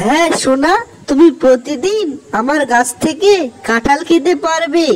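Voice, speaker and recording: This is a cartoonish character voice with a high pitch. It moves at a fairly slow pace. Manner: kind, soothing.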